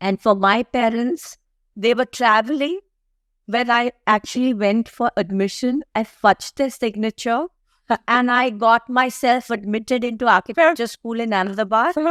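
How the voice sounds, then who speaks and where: An unremarkable speaking voice moves at a moderate pace with ordinary pitch variation, in a dry, close sound with no echo and a very clean recording with a silent background. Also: woman, fairly high pitch for a woman. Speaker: architect. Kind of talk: interview answer.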